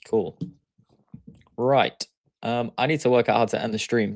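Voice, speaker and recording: With a strong Yorkshire accent, a man speaks at a fairly quick pace in a very clean recording with a silent background. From Yorkshire, northern England. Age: 20s. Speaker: day trader. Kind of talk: live stream chat. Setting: live stream. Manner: casual, hesitant fillers.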